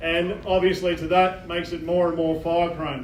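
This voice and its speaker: A man's high-pitched voice with an Australian accent, monotone and flat in intonation, with audible room echo. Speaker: fire incident controller. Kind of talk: community briefing. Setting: public meeting with audience, PA. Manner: formal, halting with fillers.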